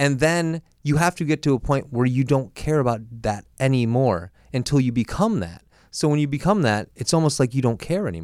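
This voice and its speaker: A man with an American accent speaks in a plain, everyday voice at a medium pitch. His pace is fairly quick and his intonation lively, in a very clean recording over a silent background. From Boston. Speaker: comedian and TV host. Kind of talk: casual chat. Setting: studio.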